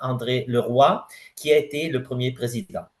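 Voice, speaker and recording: A man with a non-native accent speaks in a somewhat breathy voice. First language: not French (speaking French). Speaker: president of a scientific federation. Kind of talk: conference presentation. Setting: general assembly audience. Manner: halting, many hesitations.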